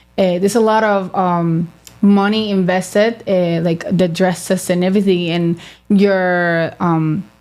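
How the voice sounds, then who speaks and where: In a Spanish accent, a woman speaks at a fairly slow pace with monotone, flat intonation and very even loudness. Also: medium pitch for a woman. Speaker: beauty pageant titleholder. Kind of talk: interview. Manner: halting.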